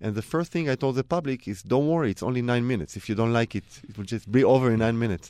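Very fast speech from a man with an Israeli accent, dry and close with no echo. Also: medium pitch for a man, ordinary pitch variation. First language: Hebrew. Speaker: cellist. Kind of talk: interview.

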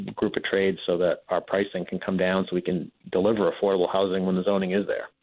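A man speaks at a fairly low pitch. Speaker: housing developer. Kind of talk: radio call-in interview. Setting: phone call.

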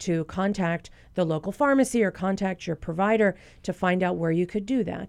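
In a very clean recording with a silent background, a woman with an unremarkable speaking voice talks at medium pitch and a fairly quick pace. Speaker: physician. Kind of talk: radio Q&A interview. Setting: studio.

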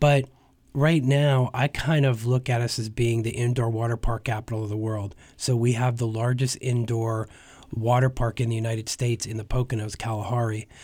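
On a very clean recording with a silent background, a man speaks at a moderate pace in a medium-pitched, somewhat breathy voice with monotone, flat intonation. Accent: American. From northeastern Pennsylvania (Hazleton). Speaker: tourism bureau executive. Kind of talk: radio interview.

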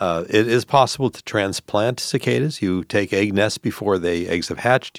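A man at fairly low pitch with ordinary pitch variation and a fairly quick pace, dry, close sound with no echo, very clean recording and silent background. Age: 60s. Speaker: entomology professor and university dean. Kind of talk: expert interview. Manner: halting, many fillers.

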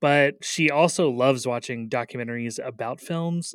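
A man with an unremarkable speaking voice, medium in pitch, talks at a moderate pace. His pitch varies in an ordinary way, and the recording is very clean with a silent background. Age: 30s. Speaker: radio film critic host. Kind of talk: interview.

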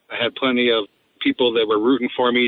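A man speaks at a medium pitch. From Delta County, Colorado. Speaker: school district administrator. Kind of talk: interview.

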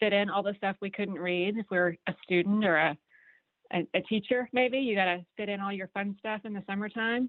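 Fairly quick speech from a woman, medium in pitch, in a plain, everyday voice with ordinary pitch variation. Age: middle-aged. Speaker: book recommender. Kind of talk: casual radio chat.

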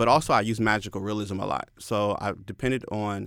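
A man with a normal speaking voice and a fairly low pitch is heard on a very clean recording with a silent background. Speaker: poet and former teacher. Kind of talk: interview. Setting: studio.

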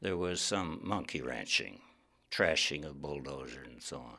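Vocal fry comes through at a moderate pace with ordinary pitch variation. The recording is very clean and the background silent. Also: man. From Wyoming. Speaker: novelist and former professor. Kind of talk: interview.

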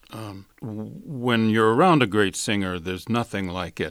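In an ordinary speaking voice with an American accent, a man talks at a moderate pace with ordinary pitch variation. His pitch is fairly low, and the recording is very clean with a silent background. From US South, Alabama. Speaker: conductor and flute professor. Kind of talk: interview.

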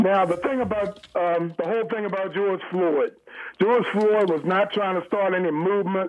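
Moderate pace and fairly even intonation. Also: man, high pitch for a man. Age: 70s. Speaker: caller, Marine veteran. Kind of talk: opinionated call-in. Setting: phone call.

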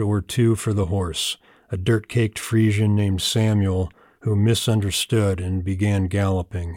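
In an American accent, a man with an unremarkable speaking voice and fairly low pitch talks at a fairly slow pace with fairly even intonation, on a very clean recording with a silent background. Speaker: poet. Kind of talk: poetry reading, read aloud from the page. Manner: deadpan, dry storytelling delivery.

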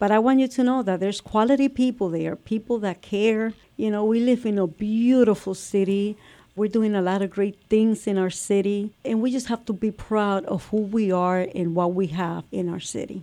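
Against a quiet background, a woman with an American accent speaks in a dark, mellow tone. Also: medium pitch for a woman, ordinary pitch variation, moderate pace. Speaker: city council president. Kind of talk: casual interview chat.

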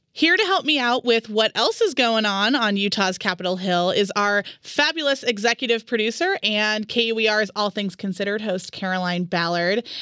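Loud and bright with a sharp tone, a woman speaks at a moderate pace with hardly any pauses. Her voice is fairly high with ordinary pitch variation. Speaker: radio host. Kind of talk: radio interview. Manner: loud talker.

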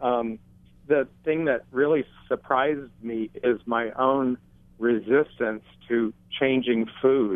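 Very slow delivery with long, frequent pauses and fairly even intonation. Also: man, medium pitch for a man. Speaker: caller with diabetes. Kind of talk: call-in question. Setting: phone call. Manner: halting.

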